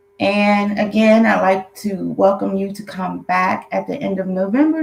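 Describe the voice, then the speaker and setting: Noticeable background noise sits behind a woman speaking. Her medium-pitched voice moves at a fairly slow pace. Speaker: tarot card reader. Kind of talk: monthly tarot reading to camera.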